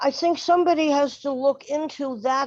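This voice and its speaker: A fairly slow pace with ordinary pitch variation. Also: woman. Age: 70s. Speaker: transit rider giving public comment. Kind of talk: public comment at board meeting.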